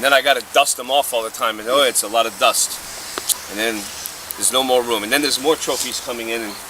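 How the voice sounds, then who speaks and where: Over noticeable background noise, a man with a medium-pitched voice talks very fast. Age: 60s. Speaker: baseball coach. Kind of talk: casual chat. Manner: animated.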